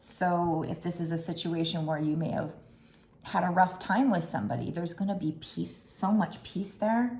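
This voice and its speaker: A woman speaks at a moderate pace in a fairly low pitch with ordinary pitch variation. There is audible room echo. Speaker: tarot card reader. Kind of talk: tarot reading to camera. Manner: animated; conversational.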